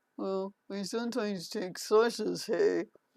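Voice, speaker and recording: The woman adopts a put-on character voice at medium pitch, keeping a moderate pace. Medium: solo performance. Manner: simple, naive, broken grammar.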